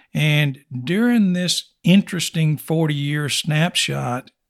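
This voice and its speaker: Speaking fairly slowly in a West Texas accent, a man with a fairly high pitch comes through with a dry, close sound and no echo. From West Texas (Snyder). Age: 60s. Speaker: oilfield services company owner. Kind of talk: interview.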